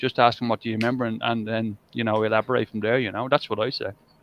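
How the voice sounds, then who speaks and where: Talking at a very fast pace, a man uses fairly even intonation. He has an Irish accent and a medium pitch. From Ireland. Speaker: live stream host. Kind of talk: casual chat. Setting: live stream. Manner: halting.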